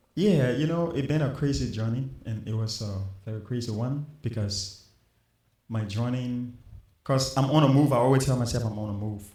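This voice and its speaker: The voice has a Liberian accent and a dark, mellow tone, somewhat breathy, with audible room echo. It moves at a moderate pace with ordinary pitch variation. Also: man, medium pitch for a man. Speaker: musician. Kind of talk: interview.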